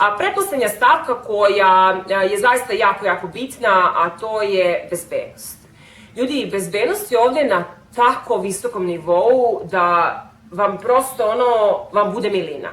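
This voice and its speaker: A woman speaks at a fairly slow pace in a Serbian accent. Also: medium pitch for a woman, ordinary pitch variation. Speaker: vlogger. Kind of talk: casual vlog talk.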